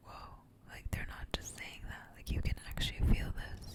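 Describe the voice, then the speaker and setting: Whispering from a woman. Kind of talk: whispered ASMR ramble; casual talk to camera. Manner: soft, whispered, slow, intimate.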